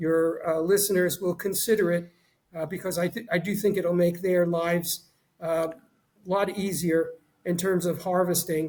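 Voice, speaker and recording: The delivery is monotone and flat in intonation, at a moderate pace. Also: man. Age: 70s. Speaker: retired orthopedic surgeon. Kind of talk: podcast interview. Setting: podcast. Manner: halting, many fillers and repetitions.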